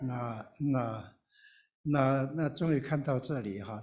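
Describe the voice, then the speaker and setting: A man's somewhat breathy, medium-pitched voice with audible room echo. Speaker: retired pastor and missionary. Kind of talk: sermon.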